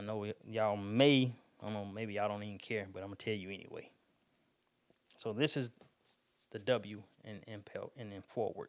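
A man with a Southern US accent speaks fairly quickly in a fairly low pitch, his intonation fairly even and broken by long, frequent pauses. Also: big swings in loudness. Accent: country, Southern US. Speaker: podcast host and barber. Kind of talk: casual solo podcast talk. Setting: home studio. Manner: fast talker, sometimes mumbles.

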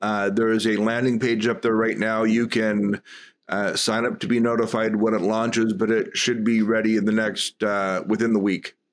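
A man with a plain, everyday voice talks at medium pitch and a moderate pace in a very clean recording with a silent background. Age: 50s. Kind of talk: casual interview.

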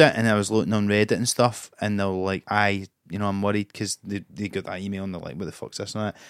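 A man with a Scottish accent, fairly low-pitched and fairly quick, with big swings in loudness, in a dry, close sound with no echo and a very clean recording with a silent background. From Scotland. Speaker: comedian. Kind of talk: casual chat.

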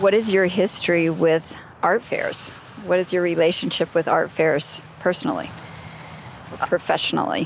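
A woman talks at a moderate pace, fairly low in pitch, with fairly even intonation and very even loudness. Noticeable background noise is present, and she leaves long, frequent pauses. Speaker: radio host. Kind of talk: radio interview.

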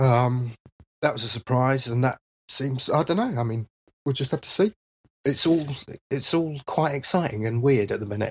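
The somewhat breathy voice moves at a moderate pace with ordinary pitch variation and long, frequent pauses, in a dry, close sound with no echo. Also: man, medium pitch for a man. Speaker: software developer. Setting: video call.

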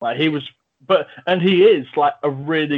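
A man is speaking. He talks with an English accent. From England. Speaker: film review podcast host. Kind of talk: casual chat.

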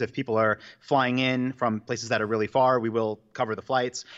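In an American accent, a man with a normal speaking voice talks at a fairly quick pace. His pitch is medium and the background is quiet. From New York, Long Island. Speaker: online business founder and event organizer. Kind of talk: interview. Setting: remote call from office.

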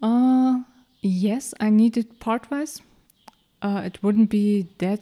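Speaking with a German accent, a woman goes at a very slow pace, her dark, mellow tone showing ordinary pitch variation. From Mecklenburg-Vorpommern, Germany. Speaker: engineer. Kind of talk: interview. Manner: halting.

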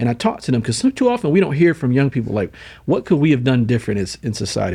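Against a quiet background, a man speaks very fast at a medium pitch. His tone is dark and mellow, somewhat breathy. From upstate New York (Syracuse). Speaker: nonprofit CEO and mentoring advocate. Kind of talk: interview. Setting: studio, in person.

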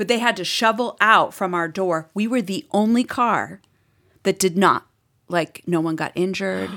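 Heard in a very clean recording over a silent background, a woman speaks with a slight Boston accent. Her medium-pitched voice is bright and sharp, with ordinary pitch variation and a moderate pace. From Boston, US Northeast. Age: 50s. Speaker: podcast guest, mom. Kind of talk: casual chat.

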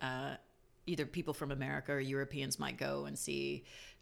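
A woman speaks at a moderate pace with vocal fry and a very deep, low pitch, on a very clean recording with a silent background. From Jamaica. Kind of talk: casual interview chat.

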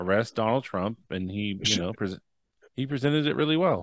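Medium pitch and ordinary pitch variation from a man, with a dry, close sound, no echo, and a quiet background. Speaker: podcast co-host. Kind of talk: casual chat. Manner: animated.

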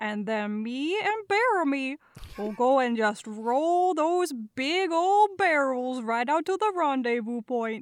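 A woman with a Minnesotan accent speaks very slowly at a high pitch. Her pitch swings very widely. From Minnesota, US Midwest. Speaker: voiceover artist and guest player. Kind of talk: casual tabletop roleplaying game session. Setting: video call.

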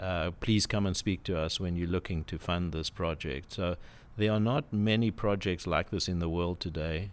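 A very deep, low male voice with a South African accent and fairly even intonation, on a very clean recording with a silent background. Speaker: property development CEO. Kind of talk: casual interview chat. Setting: studio.

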